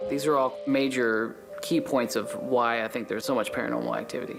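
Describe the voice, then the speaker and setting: Background music is playing. Over it, a man talks at a fairly quick pace. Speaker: hotel owner, former engineer. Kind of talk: interview answer.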